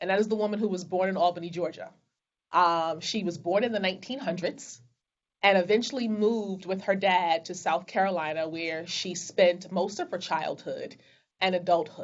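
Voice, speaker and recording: A woman's voice at a moderate pace with fairly even intonation. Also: medium pitch for a woman. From Brooklyn, New York. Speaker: business executive. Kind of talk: interview. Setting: video call.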